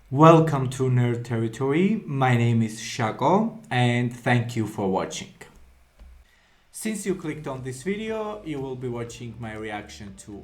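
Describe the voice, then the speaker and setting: Music plays behind a man whose medium-pitched voice swings very widely in pitch and heavily in loudness as he speaks at a fairly slow pace. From Georgia (country). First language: Georgian. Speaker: anime reaction youtuber. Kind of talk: casual video intro monologue. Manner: hesitant, many fillers.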